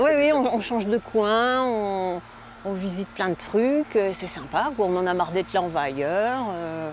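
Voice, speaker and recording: A woman's medium-pitched voice with lively intonation at a fairly slow pace. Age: 60s. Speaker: van dweller, seasonal bus driver. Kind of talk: interview. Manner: hesitant, with many fillers.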